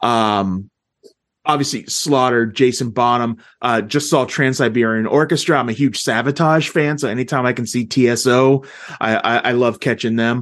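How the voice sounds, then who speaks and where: Over a quiet background, a man with an ordinary speaking voice talks at a moderate pace. He keeps a medium pitch with fairly even intonation. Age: 40s. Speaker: music fan, movie review podcaster. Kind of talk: casual chat.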